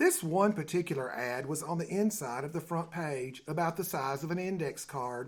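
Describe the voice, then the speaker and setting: Speech in a Tennessee accent at a moderate pace, in a very clean recording with a silent background. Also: man. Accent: Southern US, Tennessee. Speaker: author and storyteller. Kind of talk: humorous story reading. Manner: homespun humorous storytelling.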